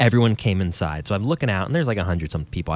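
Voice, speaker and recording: The sound is dry and close with no echo as a man talks in an American accent. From New Jersey. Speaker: podcast host and musician. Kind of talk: casual banter chat. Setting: video call, quarantine at home. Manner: joking, rambling, self-deprecating.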